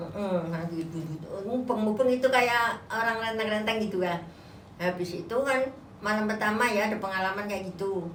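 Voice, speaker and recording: Noticeable background noise sits under a woman's fairly high voice, which shows ordinary pitch variation. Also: moderate pace. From Kediri, East Java, Indonesia. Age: old. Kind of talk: interview answer, personal ghost story.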